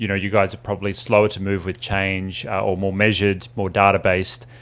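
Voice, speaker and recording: A man with an Australian accent and a fairly low pitch, in a very clean recording with a silent background. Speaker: interviewer, tech business owner. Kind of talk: interview.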